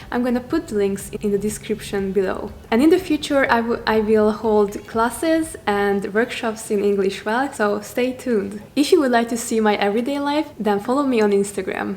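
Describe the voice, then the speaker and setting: A woman with a Hungarian accent talks at a moderate pace with hardly any pauses, in a fairly high voice with ordinary pitch variation, over noticeable background noise. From Hungary. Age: 20s. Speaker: self-development coach. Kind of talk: vlog monologue.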